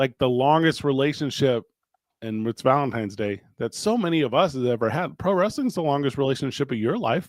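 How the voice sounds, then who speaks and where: Here is an unremarkable speaking voice with lively intonation. It moves at a fairly quick pace. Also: man, medium pitch for a man. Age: 40s. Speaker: radio host and wrestling podcast host. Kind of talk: casual chat; promo. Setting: recorded podcast with live chat.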